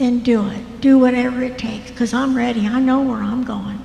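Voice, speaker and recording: A woman with an American accent talks at a high pitch and a moderate pace. Her intonation is monotone and flat, and there is noticeable background noise. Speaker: church member sharing story. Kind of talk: testimony.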